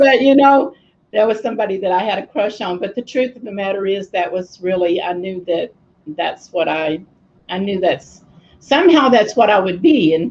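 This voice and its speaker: Speaking at a moderate pace, a woman with an American accent uses lively intonation. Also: medium pitch for a woman. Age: 60s. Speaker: apostle, minister. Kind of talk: casual chat. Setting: Facebook live video stream.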